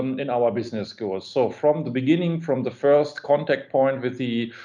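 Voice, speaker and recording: Here a man speaks in a German accent. His fairly high pitch shows ordinary variation. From Germany. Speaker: business school administrator. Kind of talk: webinar interview. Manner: halting, many fillers.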